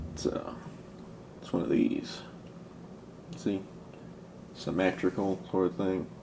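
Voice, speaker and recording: Soft-spoken, a man talks at a fairly slow pace with long, frequent pauses and big swings in loudness. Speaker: hobbyist video maker. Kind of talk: casual tutorial. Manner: soft-spoken, talking lowly; halting, rambling with fillers.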